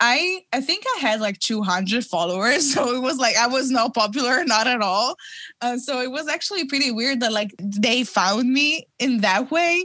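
With an Italian accent, a woman speaks at a high pitch with lively intonation. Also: moderate pace. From Italy. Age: 20s. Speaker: fashion designer. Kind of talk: interview.

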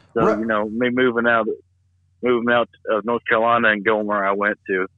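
A man with a Southern US accent, fairly low pitch and a very fast pace. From US South. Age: 30s. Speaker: comedian. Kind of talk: casual chat. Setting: phone call.

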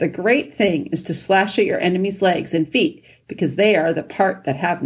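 This is a natural reading voice. It carries the whole clip.

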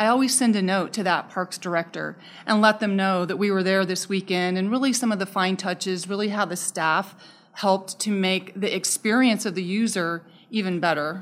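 Over a very clean recording with a silent background, a woman with an American accent speaks in a normal speaking voice at medium pitch, with fairly even intonation at a moderate pace. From Southern Arizona. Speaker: parks and recreation director. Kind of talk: interview.

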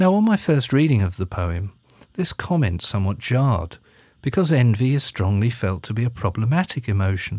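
A dark, mellow, somewhat breathy voice with an English accent, fairly quick pace and very wide pitch swings, on a very clean recording with a silent background. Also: man, medium pitch for a man. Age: 50s. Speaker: minister and podcast host. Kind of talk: spoken essay. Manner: formal.

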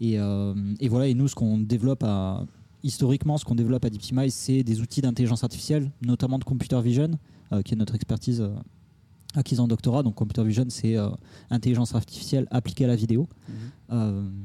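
A man's medium-pitched, dark and mellow voice at a very fast pace, fairly even in intonation and very even in loudness, broken by long, frequent pauses. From Toulouse, southern France. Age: 30s. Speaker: AI startup co-founder. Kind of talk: interview. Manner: hesitant, many fillers.

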